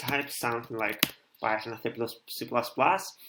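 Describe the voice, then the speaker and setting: Speaking at a fairly slow pace with a Russian accent, a man has a bright, sharp tone. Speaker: programmer live-streamer. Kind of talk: live coding stream tutorial. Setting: live stream at home. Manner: halting, many fillers.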